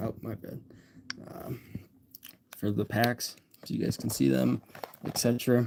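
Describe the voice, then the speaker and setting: Relaxed tone in an American accent at a moderate pace. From Western New York. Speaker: content creator livestreaming card openings. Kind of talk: casual livestream chat. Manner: relaxed, casual.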